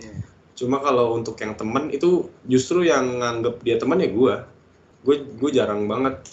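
This man has a plain, everyday voice, with medium pitch, ordinary pitch variation and a moderate pace. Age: 20s. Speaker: podcast co-host. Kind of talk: casual chat.

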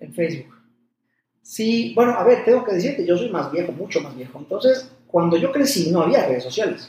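A high-pitched man's voice with very wide pitch swings and big swings in loudness. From Mexico (Puebla). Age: 40s. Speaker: cardiologist. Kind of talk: interview conversation. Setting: doctor's office.

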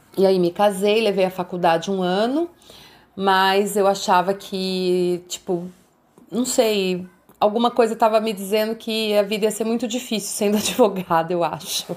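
Using an unremarkable speaking voice, a woman talks at medium pitch and a moderate pace with fairly even intonation. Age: 50s. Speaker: entrepreneur, emotional intelligence coach. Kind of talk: interview, life story.

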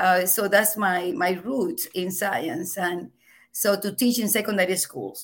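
A woman with a Venezuelan accent, medium in pitch, with ordinary pitch variation and a fairly slow pace. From Venezuela, Margarita Island. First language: Spanish. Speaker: professor. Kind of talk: interview. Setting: video call. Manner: loud; animated, laughs often.

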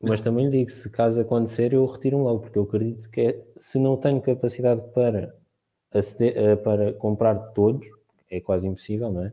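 A man with an unremarkable speaking voice, medium pitch and fairly even intonation. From Portugal, Santarém district (Ribatejo). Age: 20s. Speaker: communications student, football fan panelist. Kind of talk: casual panel discussion.

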